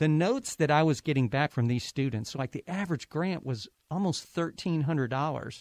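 A fairly high-pitched man with an American accent speaks fairly quickly in an unremarkable speaking voice, with ordinary pitch variation and a dry, close sound with no echo. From Ohio. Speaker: university president. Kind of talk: interview.

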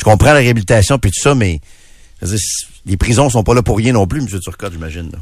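A man with a fairly low pitch and a somewhat breathy voice speaks at a fairly quick pace with lively intonation, broken by long, frequent pauses. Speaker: radio host. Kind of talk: casual chat. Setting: studio.

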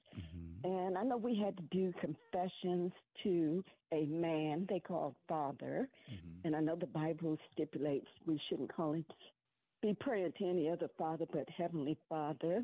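A woman with a plain, everyday voice speaks at a moderate pace and a fairly low pitch, with ordinary pitch variation and very even loudness. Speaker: caller. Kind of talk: radio call-in conversation. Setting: phone call.

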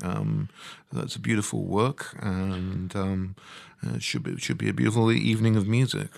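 At a moderate pace, a man with a very deep, low pitch speaks with very wide pitch swings. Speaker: entertainment reporter. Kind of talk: casual chat. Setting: studio.

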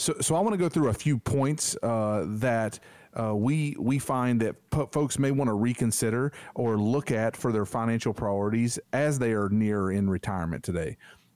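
An ordinary speaking voice from a man at medium pitch and moderate pace, with very even loudness and ordinary pitch variation. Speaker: financial advisor. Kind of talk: radio infomercial pitch.

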